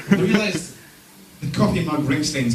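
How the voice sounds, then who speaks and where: A man's voice with music in the background. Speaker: stand-up comedian. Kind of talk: stand-up comedy set. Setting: live comedy venue.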